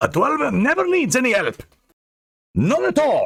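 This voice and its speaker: A man puts on a character voice with an extremely high pitch. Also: moderate pace. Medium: read story. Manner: gruff, stubborn.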